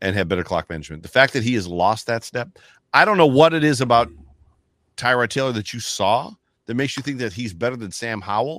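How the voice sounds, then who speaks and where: In an American accent, a man talks very fast. His intonation is lively. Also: medium pitch for a man, very clean recording, silent background. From Buffalo, New York. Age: 50s. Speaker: football fan commentator. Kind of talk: casual chat.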